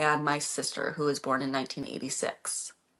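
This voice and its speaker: Fairly slow speech from a woman with an American accent. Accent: slight Minnesotan accent at times. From Minnesota, US. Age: 30s. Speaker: livestreamer. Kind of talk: casual chat. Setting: livestream. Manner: animated.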